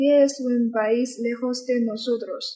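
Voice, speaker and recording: A woman speaks with a Chinese accent. Her tone is dark and mellow. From China, Qingdao. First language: Chinese (speaking Spanish). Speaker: student interviewer. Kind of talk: interview.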